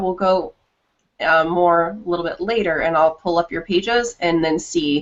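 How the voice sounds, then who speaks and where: A woman has an ordinary speaking voice with a fairly low pitch. She talks at a moderate pace with ordinary pitch variation. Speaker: marketing trainer. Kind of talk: training presentation over screen share.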